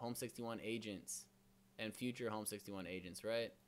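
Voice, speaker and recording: A man speaks in an animated tone on a very clean recording with a silent background. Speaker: real estate brokerage host. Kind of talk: live stream presentation. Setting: live stream. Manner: fast.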